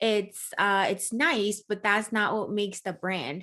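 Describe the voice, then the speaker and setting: A woman's bright, sharp voice at a moderate pace, recorded very cleanly against a silent background. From Germany. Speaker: marketing consultant. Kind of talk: interview.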